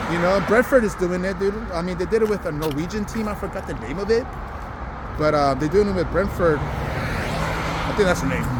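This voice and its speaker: A man's high voice with a Spanish accent at a fairly quick pace, ordinary pitch variation, audible room echo and noticeable background noise. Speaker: vlogger. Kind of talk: casual vlog monologue. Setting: outdoors, walking. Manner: casual, many fillers and restarts.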